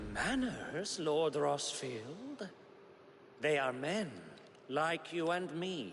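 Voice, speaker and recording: Putting on a character voice, a man speaks at a fairly high pitch and a very slow pace, with long, frequent pauses. Clear background noise is present. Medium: video game. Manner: mock-courteous.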